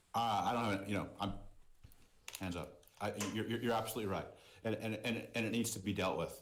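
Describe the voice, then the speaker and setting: A man with a medium-pitched voice talks at a fairly quick pace in a flat monotone, broken by long, frequent pauses, with audible echo in the room. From US, Boston. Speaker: merchandise company CEO. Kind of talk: interview podcast.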